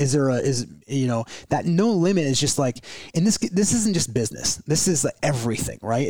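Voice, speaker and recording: A man at a moderate pace, an ordinary speaking voice, lively intonation. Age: 30s. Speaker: podcast host and business owner. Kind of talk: casual chat.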